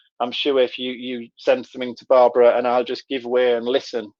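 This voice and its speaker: In a Middlesbrough accent, a man speaks at a medium pitch and a fairly quick pace with a monotone, flat intonation. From northern England, Middlesbrough. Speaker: trainer. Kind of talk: live online workshop. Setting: live video session. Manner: conversational.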